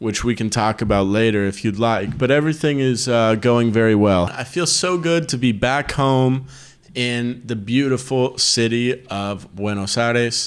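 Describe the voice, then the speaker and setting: With an American accent, a man speaks in an unremarkable speaking voice at a medium pitch and a moderate pace, using ordinary pitch variation. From United States. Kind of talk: casual podcast conversation.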